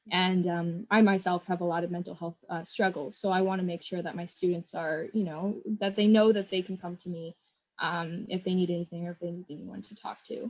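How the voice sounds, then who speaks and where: A woman with an American accent talks at a fairly quick pace and a fairly low pitch, with hardly any pauses and big swings in loudness. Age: 20s. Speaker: educator and nonprofit founder. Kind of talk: interview. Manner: casual, enthusiastic.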